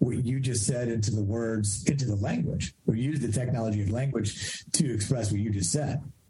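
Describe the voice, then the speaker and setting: At a moderate pace, the somewhat breathy speech shows ordinary variation in pitch. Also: man. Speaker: podcast host and life coach. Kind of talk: casual interview.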